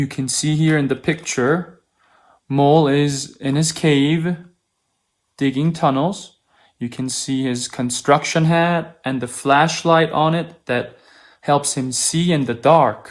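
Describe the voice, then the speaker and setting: In a very clean recording with a silent background, a man with a Korean accent talks at a very slow pace, his fairly high pitch held in fairly even intonation. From South Korea. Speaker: opera singer (tenor). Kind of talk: reading aloud a children's story. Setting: video stream from home. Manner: slow, clear storytelling for children.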